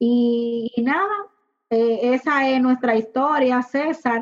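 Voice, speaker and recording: A woman speaks at a very slow pace in a high pitch. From Dominican Republic, Puerto Plata. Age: 20s. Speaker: industrial engineer and home cook. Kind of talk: personal testimony.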